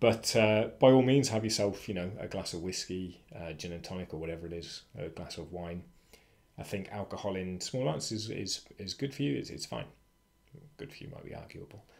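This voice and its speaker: Talking at a fairly quick pace with a British accent, a man speaks in a very deep, low pitch, his loudness swinging widely. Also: lively intonation. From Britain. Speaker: freelancing educator. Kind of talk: casual tutorial monologue. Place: home room. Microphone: webcam.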